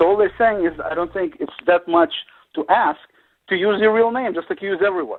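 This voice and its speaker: This man has a Russian accent and a high pitch. He moves at a fairly quick pace with ordinary pitch variation. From Soviet Union. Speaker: panelist. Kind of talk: casual chat.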